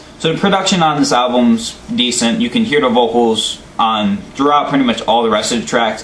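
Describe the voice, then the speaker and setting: Audible room echo and noticeable background noise around a man's speech with ordinary pitch variation. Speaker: album reviewer. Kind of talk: casual monologue review. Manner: halting, stuttering.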